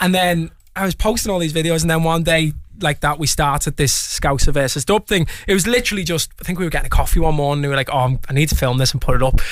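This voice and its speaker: Through noticeable background noise, a man with a fairly high voice talks at a very fast pace. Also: ordinary pitch variation. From Liverpool, England. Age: 20s. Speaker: singer. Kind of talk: casual chat. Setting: radio studio.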